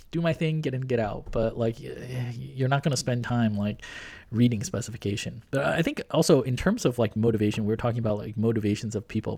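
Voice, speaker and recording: A fairly quick, somewhat breathy man's voice at medium pitch, dark and mellow in tone. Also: ordinary pitch variation. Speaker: podcast host. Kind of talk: casual podcast conversation. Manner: casual, laughs often.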